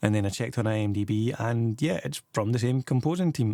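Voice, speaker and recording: A man with a Scottish accent sounds somewhat breathy in a very clean recording with a silent background. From Scotland. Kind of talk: casual movie review to camera.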